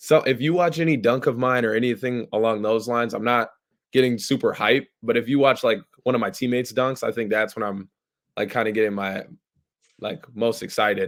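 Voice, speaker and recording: With an American accent, the speaker uses an unremarkable speaking voice at a fairly quick pace with ordinary pitch variation. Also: man, medium pitch for a man. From Minnesota, Bloomington. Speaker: basketball recruit. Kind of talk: casual interview.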